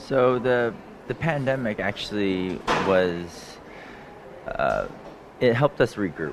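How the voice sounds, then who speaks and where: With lively intonation, a man speaks at a very slow pace over noticeable background noise. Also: medium pitch for a man. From US, Los Angeles. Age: 30s. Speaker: executive chef. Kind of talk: cooking demonstration interview. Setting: live broadcast from a cooking school.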